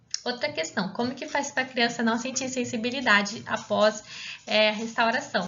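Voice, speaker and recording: There is audible room echo around this woman's voice. She talks at a moderate pace and fairly high pitch. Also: ordinary pitch variation. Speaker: pediatric dentist teaching. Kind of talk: lecture.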